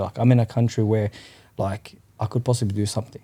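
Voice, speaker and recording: A dark, mellow, somewhat breathy voice in an Australian accent, monotone and flat in intonation, at a very fast pace. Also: man. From Western Sydney, Australia. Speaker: cafe owner. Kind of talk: casual chat.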